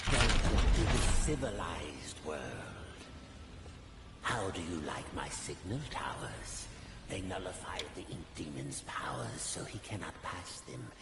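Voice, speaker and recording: A man uses a put-on character voice, very deep and low in pitch, at a fairly slow pace. Loud background noise and a clear echo surround him. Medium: virtual streamer. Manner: smooth, condescending.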